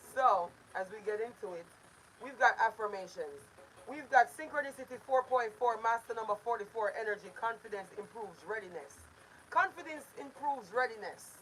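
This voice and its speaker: A woman talks at a moderate pace with fairly high pitch and lively intonation. Her loudness swings widely, and noticeable background noise runs behind her. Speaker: self-love affirmations streamer. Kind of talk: livestream affirmations talk. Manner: casual, chatty.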